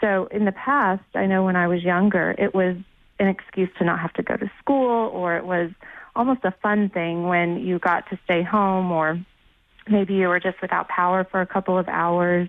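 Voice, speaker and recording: A woman with an American accent has a plain, everyday voice at a medium pitch. She keeps a moderate pace and fairly even intonation. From Houston, Texas. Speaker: new mother sharing hurricane story. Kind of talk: interview testimony. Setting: phone call.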